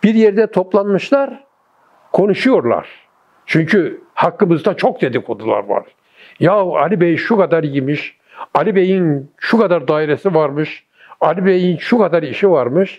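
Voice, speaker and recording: His pitch is high and his intonation lively at a fairly slow pace. The man's loudness stays very even throughout. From Gaziantep, Turkey. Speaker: retired architect, former city planning director. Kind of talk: oral history interview answer.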